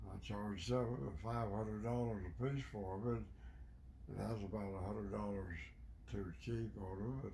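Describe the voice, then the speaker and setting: The man's tone is dark, mellow and somewhat breathy, with fairly low pitch. He speaks at a moderate pace with lively intonation. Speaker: Navy veteran. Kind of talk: interview answer.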